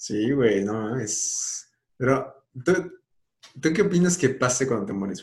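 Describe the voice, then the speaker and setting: The voice is somewhat breathy, with a Mexican accent and a very slow pace. Its pitch swings very widely and its loudness swings a lot. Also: man, medium pitch for a man. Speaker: podcast host. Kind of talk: casual chat.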